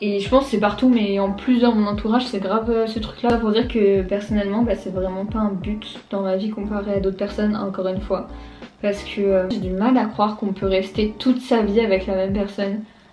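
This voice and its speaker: Music plays behind a woman who talks fairly quickly at a medium pitch in a monotone, flat delivery. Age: 20s. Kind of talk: casual vlog talk to camera. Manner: informal, chatty.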